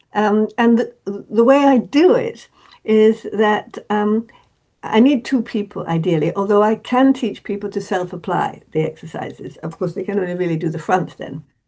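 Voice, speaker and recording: With an English accent, a woman speaks at a moderate pace in a dark, mellow tone, her fairly high pitch carried by lively intonation. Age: 80s+. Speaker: therapist. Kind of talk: interview. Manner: halting, many repetitions and fillers.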